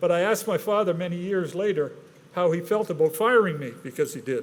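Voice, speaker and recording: Over noticeable background noise, a man with a high voice speaks at a fairly quick pace with ordinary pitch variation. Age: 70s. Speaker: award recipient. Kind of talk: acceptance speech.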